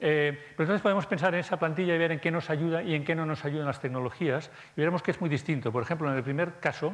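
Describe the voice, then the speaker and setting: A man talks fairly fast, and the recording is very clean with a silent background. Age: 50s. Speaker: conference speaker. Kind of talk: conference talk. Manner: halting, many fillers.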